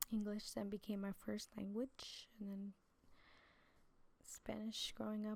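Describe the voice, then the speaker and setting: A woman speaks in an American accent with a dark, mellow tone. Her pace is very slow. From New Jersey. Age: 20s. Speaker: preacher. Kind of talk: testimony. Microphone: too quiet in original upload.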